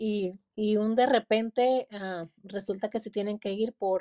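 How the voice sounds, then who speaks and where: A dark, mellow tone comes through. No echo is heard, and the sound stays dry and close. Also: woman. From Mexico, Durango. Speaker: pastor and author. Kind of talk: interview.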